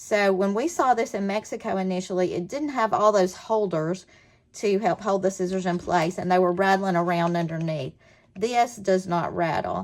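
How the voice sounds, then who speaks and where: A woman speaks with a Southern US accent at a moderate pace. Her pitch sits in the medium range, with ordinary variation. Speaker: scrapbooking product presenter. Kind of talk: product demonstration. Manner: animated.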